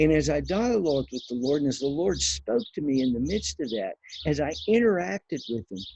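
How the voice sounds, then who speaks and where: Somewhat breathy, a man with a dark, mellow tone talks at a fairly quick pace and fairly high pitch, with very wide pitch swings. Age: 60s. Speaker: pastor. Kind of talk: devotional teaching. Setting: outdoors on back patio.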